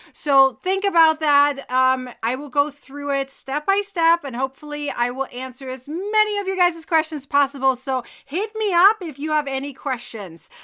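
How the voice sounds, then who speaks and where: With a raised, projected voice, a woman speaks at a high pitch in a bright, sharp tone with lively intonation, keeping a moderate pace with hardly any pauses. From Germany. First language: German. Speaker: crochet teacher. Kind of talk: live tutorial. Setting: live stream. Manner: loud; casual chatty.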